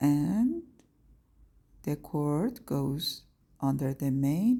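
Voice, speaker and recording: A woman's very deep, low voice with a non-native accent, lively intonation and a somewhat breathy quality. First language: not English. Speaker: craft tutorial maker. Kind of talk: tutorial. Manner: halting.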